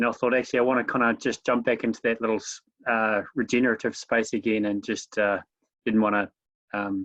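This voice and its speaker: With a New Zealand accent, the speaker talks at a fairly quick pace in a monotone, flat intonation, recorded with a dry, close sound, no echo, and a quiet background. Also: man, medium pitch for a man. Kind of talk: casual chat. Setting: video call. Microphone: bad connection.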